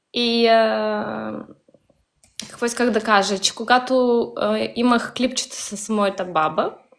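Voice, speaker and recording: The speaker is a woman with a Ukrainian accent. She talks at a very slow pace. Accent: Ukrainian accent in Bulgarian. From Bessarabia, southern Ukraine. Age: young. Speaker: Bessarabian Bulgarian social media user. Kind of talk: casual interview. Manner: halting.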